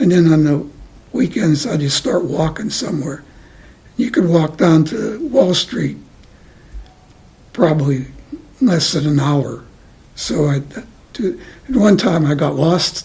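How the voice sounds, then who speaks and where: Against noticeable background noise, a man with an American accent speaks at a fairly slow pace in a fairly high pitch, with lively intonation and long, frequent pauses. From New York City, Lower East Side. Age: 90s. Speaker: interviewee, retiree. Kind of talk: oral history interview. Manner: halting, many repeats and fillers.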